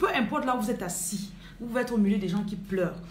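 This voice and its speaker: There is audible room echo and light background noise as a woman talks at a very fast pace. Her medium-pitched voice has lively intonation. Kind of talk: livestream sermon and prayer. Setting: live video stream. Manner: talkative. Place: home room. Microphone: phone near.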